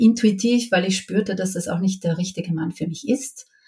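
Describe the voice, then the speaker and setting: At a moderate pace, a woman talks in a medium pitch, somewhat breathy, with fairly even intonation. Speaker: mother sharing her experience. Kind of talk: interview, personal testimony.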